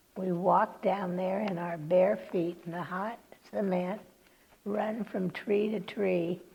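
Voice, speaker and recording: In an American accent, a woman speaks very slowly at a medium pitch with monotone, flat intonation over noticeable background noise. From California, USA. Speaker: oral history interviewee, retired nurse. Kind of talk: oral history interview answer, reminiscing.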